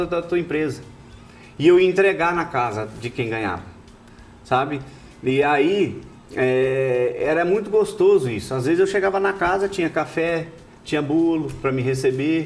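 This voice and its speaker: Lively intonation carries speech that moves at a fairly slow pace with long, frequent pauses. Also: man, fairly high pitch for a man. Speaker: rodeo announcer and radio host. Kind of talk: interview answer, telling his life story.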